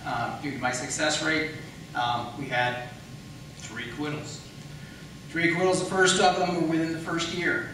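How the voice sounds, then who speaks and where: With noticeable background noise behind him, a man speaks at a moderate pace and fairly high pitch, showing ordinary pitch variation and long, frequent pauses. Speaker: county attorney candidate in a debate. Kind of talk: political debate answer.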